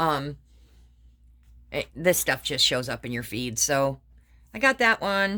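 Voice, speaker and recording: Recorded very cleanly against a silent background, a woman speaks in a bright, sharp tone with vocal fry and very wide pitch swings. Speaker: craft vlogger. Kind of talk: casual chat.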